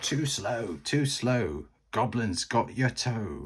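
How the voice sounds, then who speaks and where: Putting on a character voice, a man speaks at medium pitch and a very slow pace. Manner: taunting, sing-song.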